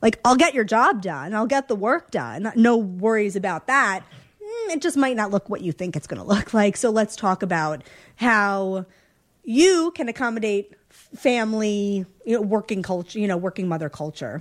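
A moderate pace paired with lively intonation. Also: woman, fairly high pitch for a woman. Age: 30s. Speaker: TV producer. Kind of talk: casual chat. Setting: living room.

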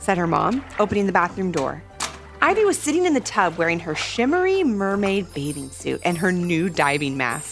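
Someone reads aloud plainly in this recording.

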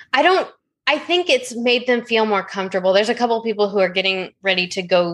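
A woman with an American accent talks at a fairly quick pace in a plain, everyday voice. Her pitch varies in an ordinary way. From US Pacific Northwest, Oregon. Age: 30s. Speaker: weight-loss story guest. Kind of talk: casual podcast interview.

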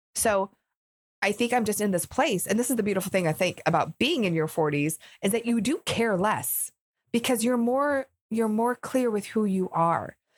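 Fairly high-pitched and animated, a woman speaks at a moderate pace with lively intonation and very even loudness, in a very clean, silent recording that sounds dry and close with no echo. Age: 40s. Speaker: entrepreneur and video marketing coach. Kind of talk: interview.

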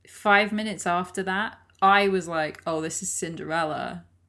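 A medium-pitched woman speaks at a moderate pace with fairly even intonation and a bright, sharp tone, recorded very cleanly over a silent background. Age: 20s. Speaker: podcast co-host. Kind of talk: casual chat.

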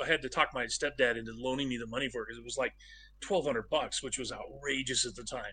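A man's medium-pitched voice with an American accent, a bright, sharp tone and fairly even intonation. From southern Oregon, US. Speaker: game director. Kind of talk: interview.

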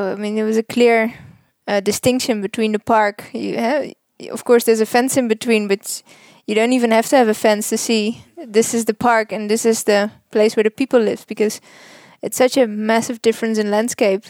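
A woman's fairly high, monotone voice with an unchanging intonation, in a Dutch accent, at a moderate pace, with a dry, close sound and no echo. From Netherlands. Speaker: wildlife relocation worker. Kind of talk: interview. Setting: hotel room.

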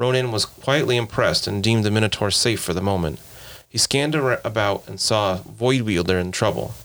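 With ordinary pitch variation, the voice reads aloud naturally.

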